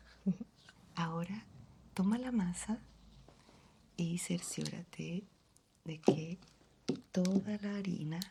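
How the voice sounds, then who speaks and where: A woman's somewhat breathy voice, dark and mellow in tone, medium in pitch with fairly even intonation, very slow, with long, frequent pauses. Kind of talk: ASMR roleplay.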